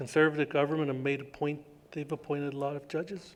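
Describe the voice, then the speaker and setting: This man's voice sits fairly high in pitch, and he speaks at a fairly quick pace. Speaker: First Nations chief. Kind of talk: public speech. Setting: university hall with audience. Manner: halting.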